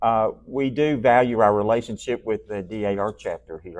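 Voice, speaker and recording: A man speaks at a fairly quick pace with an ordinary speaking voice. His pitch variation is ordinary. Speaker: presenter at a society meeting. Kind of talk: slide presentation.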